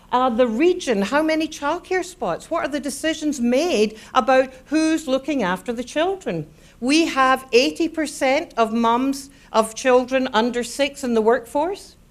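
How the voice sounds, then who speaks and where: A Scottish accent at a fairly slow pace. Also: woman. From Scotland. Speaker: neuroscience speaker. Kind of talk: public lecture. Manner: animated.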